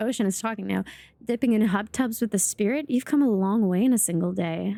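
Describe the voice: A plain read-aloud delivery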